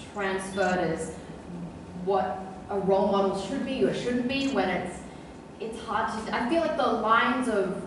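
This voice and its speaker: A woman speaks with long, frequent pauses, her voice carrying a strong room echo over noticeable background noise. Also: ordinary pitch variation, moderate pace. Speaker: guest. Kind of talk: interview answer. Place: hall.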